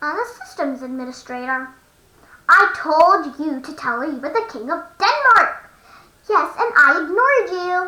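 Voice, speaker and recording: At an extremely high pitch, someone performs a put-on character voice at a moderate pace. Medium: read story. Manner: dry, deadpan.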